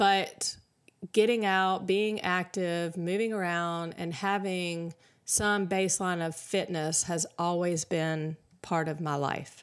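A woman's fairly low pitch and fairly even intonation at a very slow pace, in a very clean recording with a silent background. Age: 50s. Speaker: podcast host. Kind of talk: solo podcast monologue. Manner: casual, laughs often.

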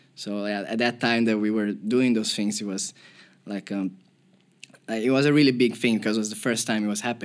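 Speaking at a fairly quick pace, a man with a Portuguese accent keeps a fairly low pitch and fairly even intonation. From Brazil, Porto Alegre. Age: 30s. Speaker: professional footballer. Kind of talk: podcast interview. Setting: studio.

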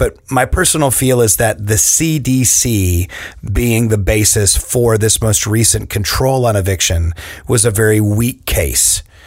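A man talks at a fairly slow pace with very even loudness and a somewhat breathy quality. His pitch is medium with ordinary variation. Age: 40s. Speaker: podcast host, property management. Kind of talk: interview.

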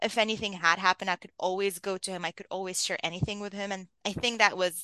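Her voice is bright and sharp at a medium pitch, and the woman speaks at a fairly quick pace in a dry, close recording with no echo and a quiet background. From Lebanon. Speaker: leadership coach. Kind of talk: interview conversation.

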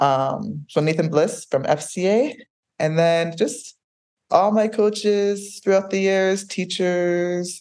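Her voice has a dark, mellow tone. This woman's intonation rises and falls in a lively way. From Canada. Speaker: professional basketball player. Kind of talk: casual chat.

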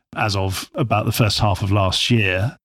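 A man's somewhat breathy voice comes through dry and close, with no echo. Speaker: podcast host. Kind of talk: interview.

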